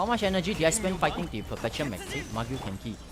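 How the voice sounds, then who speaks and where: A man talks at a very fast pace with a Singaporean accent and very wide pitch swings. Music plays in the background. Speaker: gaming streamer. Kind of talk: casual livestream gameplay chat. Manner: animated, excitable; halting, repeats words.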